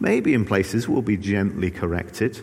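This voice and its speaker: The voice moves at a moderate pace with ordinary pitch variation, and audible room echo surrounds it. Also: man. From England. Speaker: pastor. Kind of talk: sermon. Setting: church. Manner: hesitant, frequent filler words.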